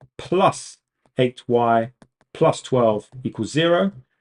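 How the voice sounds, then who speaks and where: A man with a British accent speaks at medium pitch with ordinary pitch variation, the sound dry and close with no echo. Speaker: maths tutor. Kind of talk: live online tutorial. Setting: livestream. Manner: fast.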